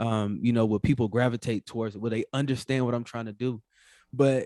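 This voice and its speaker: A man with a Southern US accent speaks in a dark, mellow tone. The recording is very clean, with a silent background. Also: dry, close sound with no echo. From US South, North Carolina. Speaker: entrepreneur, finance podcaster. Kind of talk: casual interview. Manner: polite, says yes sir often.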